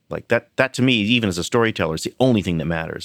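In a dry, close sound with no echo and a silent background, a man speaks in an unremarkable speaking voice at a fairly low pitch, very cleanly recorded. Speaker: TV writer and producer. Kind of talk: casual chat. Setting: office.

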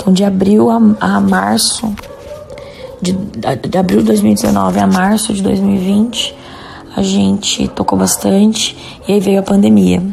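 Over music in the background, a woman speaks at a very slow pace with long, frequent pauses. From Jundiaí, São Paulo state, Brazil. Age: 30s. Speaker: rock band singer. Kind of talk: recorded interview answers.

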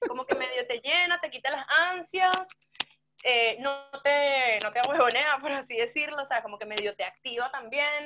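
At a moderate pace, a woman speaks in a raised, projected voice with a high pitch and ordinary pitch variation. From Venezuela, Yaracuy (San Felipe). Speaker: rock musician. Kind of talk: casual chat.

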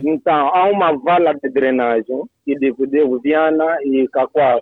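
A man with a fairly high pitch talks at a fairly slow pace, with ordinary pitch variation and hardly any pauses. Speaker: caller. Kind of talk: phone call.

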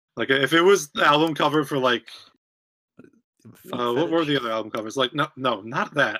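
Fairly high for a man, this is an ordinary speaking voice moving at a fairly quick pace. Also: ordinary pitch variation. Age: 20s. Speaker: podcast co-host. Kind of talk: casual chat.

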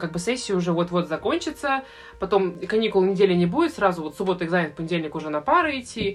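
Very fast speech from a woman at a medium pitch, with noticeable background noise. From Russia, St Petersburg. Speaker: medical student. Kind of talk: casual chat.

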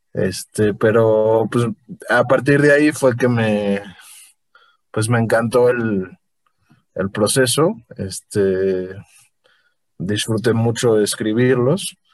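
With music in the background, a man of medium pitch talks at a very slow pace, using ordinary pitch variation and long, frequent pauses. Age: 20s. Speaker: novelist and law student. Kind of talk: casual interview. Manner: halting, many fillers.

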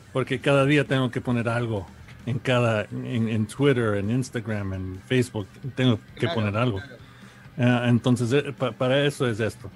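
A man with a medium pitch and fairly even intonation speaks against noticeable background noise. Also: moderate pace. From New York, Ecuadorian family. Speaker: musician. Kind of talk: interview. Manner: halting.

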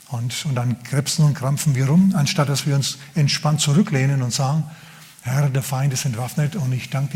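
Over noticeable background noise, a man speaks at a fairly high pitch and a moderate pace. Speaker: pastor. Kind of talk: sermon. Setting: church. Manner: animated, conversational preacher; humorous, casual.

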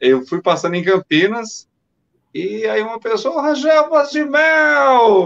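In a dry, close sound with no echo, a man speaks with very wide pitch swings. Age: 50s. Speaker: former radio announcer. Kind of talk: casual chat.

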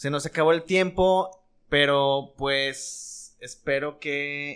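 The speaker is a man. His pitch is fairly high. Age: 30s. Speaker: podcast host. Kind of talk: casual chat.

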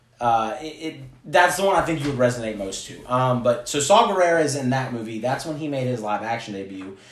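Amid noticeable background noise and audible room echo, a man at medium pitch talks at a fairly quick pace with lively intonation and hardly any pauses. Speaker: podcast co-host. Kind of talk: casual chat.

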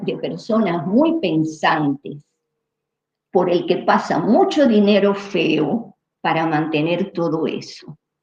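A woman speaks very slowly in a somewhat breathy voice with lively intonation. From Cuba. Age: 70s. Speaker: neuroscientist. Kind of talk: interview. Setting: livestream.

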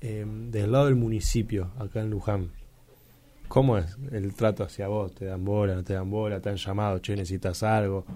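The man's dark, mellow voice sits fairly low in pitch. He keeps a moderate pace and fairly even intonation. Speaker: radio host. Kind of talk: interview.

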